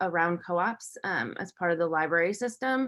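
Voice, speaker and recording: Speaking at a moderate pace, a woman has a normal speaking voice with a medium pitch and ordinary pitch variation. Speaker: cooperative development presenter. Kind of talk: webinar presentation.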